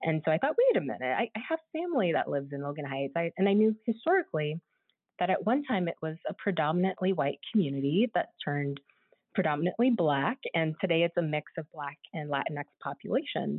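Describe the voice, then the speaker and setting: This woman has an American accent and a fairly low pitch. She talks at a fairly quick pace with lively intonation. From US West Coast, San Diego, California. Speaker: university archivist. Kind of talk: interview. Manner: halting, many fillers and restarts.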